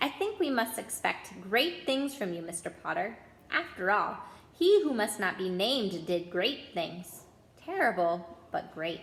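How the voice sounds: Putting on a character voice with audible room echo, a woman speaks at a fairly slow pace and medium pitch, with few pauses, big pitch swings, vocal fry and a fairly bright tone.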